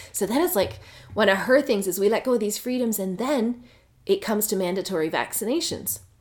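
A woman with a normal speaking voice and a Canadian accent talks at a fairly quick pace and a fairly high pitch with lively intonation. The recording is very clean, with a silent background. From Canada. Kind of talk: casual chat.

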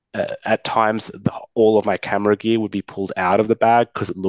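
Against a quiet background, a man speaks with an Australian accent. His delivery is monotone and flat at a moderate pace. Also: dry, close sound with no echo. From Sydney, Australia. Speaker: caller. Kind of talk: casual chat. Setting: video call.

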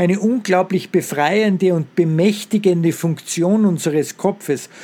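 At a moderate pace, a man speaks with a dark, mellow tone, a high pitch and fairly even intonation. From Austria, Salzburg. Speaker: professor. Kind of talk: interview.

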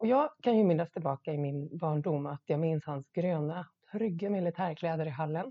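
Her voice is an unremarkable speaking voice at fairly low pitch. The woman's pitch varies in an ordinary way. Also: moderate pace. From Sweden, Gotland. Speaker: podcast host. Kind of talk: solo monologue podcast.

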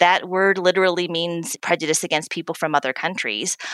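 A woman with a normal speaking voice and a fairly low pitch talks at a moderate pace, the sound dry and close with no echo. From US South. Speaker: diversity and inclusion executive. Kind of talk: interview.

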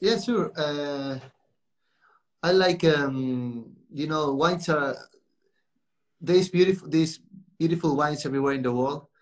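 Fairly slow, high-pitched speech from a man with a Spanish accent, long, frequent pauses and ordinary pitch variation. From Spain, near Portuguese border. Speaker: winemaker. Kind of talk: casual interview. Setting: Instagram live stream. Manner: halting.

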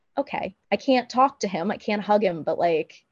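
Her voice is an unremarkable speaking voice, medium in pitch, with ordinary pitch variation and a moderate pace. The sound is dry and close with no echo, over a quiet background. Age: 30s. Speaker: singer-songwriter. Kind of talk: casual chat.

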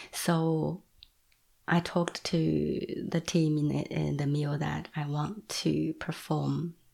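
With a Chinese accent, a woman speaks in a very deep, low pitch and a dark, mellow tone. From China. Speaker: visual artist. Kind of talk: interview. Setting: at home. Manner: halting.

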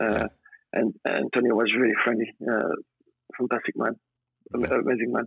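Speaking at a very fast pace, a man with a French accent uses a medium-pitched voice. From France. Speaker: former footballer, personal trainer. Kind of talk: interview. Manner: halting.

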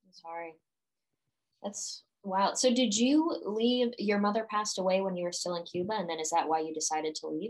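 A woman talks fairly quickly at medium pitch in an ordinary speaking voice, with lively intonation and big swings in loudness. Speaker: podcast host. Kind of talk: interview conversation.

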